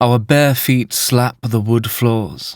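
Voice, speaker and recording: A man talks with fairly even intonation. The background is silent and the recording very clean. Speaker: voice actor, audiobook narrator. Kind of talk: literary audiobook narration, first person present tense.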